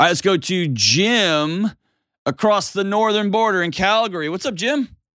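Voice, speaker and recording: A man with a Texas accent, high in pitch, animated in tone and lively in intonation. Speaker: mental health advice show host. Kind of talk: call-in advice show, casual chat. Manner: joking, laughs often.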